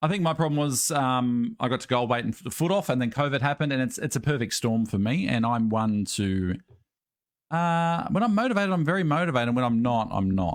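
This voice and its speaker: Very clean and set against a silent background, this recording has a man with an Australian accent and medium pitch. He talks at a very fast pace with lively intonation. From Australia, Northwest Sydney. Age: 30s. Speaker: podcast co-host and streamer. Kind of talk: casual chat. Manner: hesitant, many ums.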